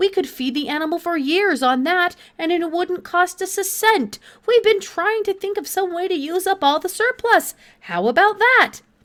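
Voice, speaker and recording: A woman's squeaky, put-on character voice at an extremely high pitch, with lively intonation and a moderate pace. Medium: read story. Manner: drawling, unhurried.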